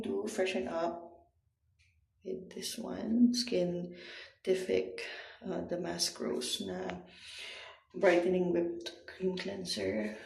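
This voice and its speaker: In a room with audible echo, a woman speaks at a very slow pace with long, frequent pauses. Her loudness swings widely. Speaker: vlogger. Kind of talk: casual vlog narration. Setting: hotel room.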